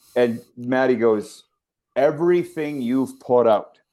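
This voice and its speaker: A man in a Canadian prairie accent, medium in pitch with a dark, mellow tone and ordinary pitch variation. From Saskatchewan, Canada. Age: 50s. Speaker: sports broadcaster. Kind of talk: interview.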